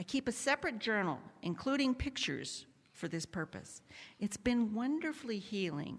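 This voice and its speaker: With vocal fry and very wide pitch swings, a woman speaks in a fairly high voice. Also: moderate pace. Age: 70s. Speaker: lay worship leader. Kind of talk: church announcements and personal reflection.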